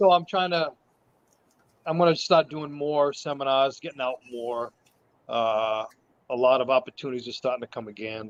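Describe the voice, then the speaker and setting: At a moderate pace, a man speaks in a medium pitch with ordinary pitch variation, big swings in loudness and long, frequent pauses, in a dry, close sound with no echo. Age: 60s. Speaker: martial arts instructor. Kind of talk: casual chat. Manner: halting.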